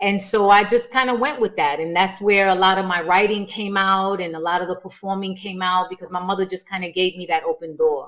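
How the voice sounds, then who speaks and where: A woman talks at a medium pitch with fairly even intonation. She hardly pauses at all. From New York, South Bronx. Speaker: performer and writer. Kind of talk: podcast interview.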